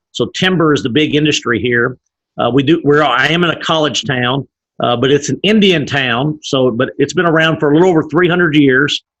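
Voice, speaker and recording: A man with an East Texas accent, fairly high in pitch with ordinary pitch variation, at a fairly quick pace. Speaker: business leader. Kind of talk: interview. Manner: fast-paced; energetic.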